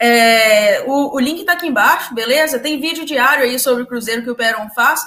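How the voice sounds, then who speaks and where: A woman's raised, projected voice comes at a moderate pace. Her pitch is high. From Minas Gerais, Brazil. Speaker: football fan channel co-host, physics student. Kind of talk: casual chat.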